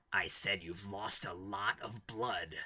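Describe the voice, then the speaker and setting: Putting on a character voice, a man growls at a fairly low pitch and a fairly slow pace. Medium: read story. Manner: dry, darkly amused.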